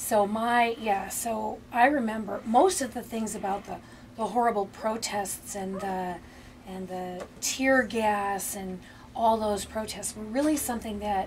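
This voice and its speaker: A woman with an Upper Midwest accent speaks at a fairly slow pace in a fairly high pitch, her intonation fairly even but her loudness swinging widely. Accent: Upper Midwest American. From Minneapolis, Minnesota. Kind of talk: oral history interview answer. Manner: hesitant, conversational.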